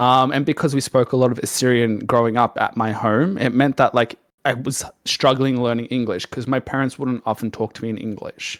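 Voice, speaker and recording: A man with a Melbourne accent talks at a moderate pace and medium pitch, recorded with a dry, close sound and no echo. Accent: Australian (Melbourne). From Australia, Melbourne. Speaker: streamer. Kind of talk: casual chat. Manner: animated.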